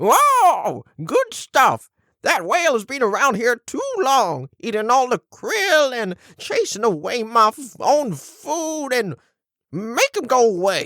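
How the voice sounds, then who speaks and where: In a put-on character voice, the speaker talks at a fairly high pitch and a fairly slow pace. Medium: audio drama. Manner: grumpy, crotchety.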